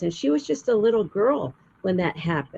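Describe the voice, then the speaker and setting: A woman's medium-pitched voice in an American accent, very wide pitch swings at a moderate pace. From US Southwest, Arizona. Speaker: storyteller. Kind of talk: interview.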